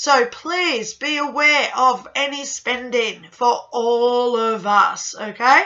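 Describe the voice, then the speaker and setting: Music plays in the background as a woman speaks. Her pitch is high, with ordinary pitch variation. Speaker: tarot reader. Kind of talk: monthly horoscope talk to camera. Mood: warm, occasional laughter. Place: home room. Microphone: webcam.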